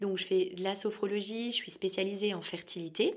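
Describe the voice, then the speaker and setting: Ordinary pitch variation from a woman at a fairly quick pace. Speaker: sophrologist. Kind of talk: interview. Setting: in-person recording. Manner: energetic.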